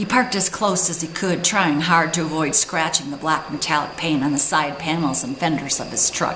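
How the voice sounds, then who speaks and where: Noticeable background noise sits behind a woman's very deep, low voice. She speaks with hardly any pauses. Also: ordinary pitch variation, moderate pace. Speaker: author reading from her own book. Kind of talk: reading of a fiction passage, narration.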